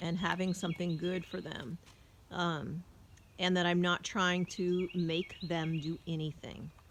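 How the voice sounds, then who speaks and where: A woman's gravelly, fairly low-pitched voice moves at a fairly slow pace. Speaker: horse trainer. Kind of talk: casual narration while working with horses. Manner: slow, soothing.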